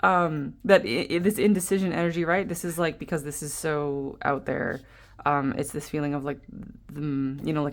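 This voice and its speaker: A woman mumbles at a moderate pace in a put-on character voice. Her pitch is very deep and low. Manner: stuttering, mumbling.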